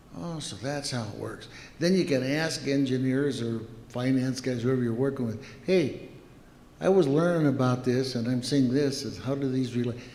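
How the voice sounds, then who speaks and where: The speaker keeps a moderate pace with ordinary pitch variation, and room echo is audible. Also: man, medium pitch for a man. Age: 70s. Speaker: company founder and executive. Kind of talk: interview.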